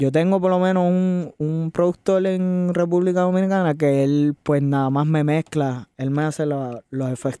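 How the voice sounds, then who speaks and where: A man's fairly high-pitched voice with a dark, mellow tone and ordinary pitch variation, at a fairly slow pace with hardly any pauses, in a very clean recording with a silent background and a dry, close sound with no echo. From Puerto Rico, west (Añasco). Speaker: singer-songwriter. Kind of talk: interview.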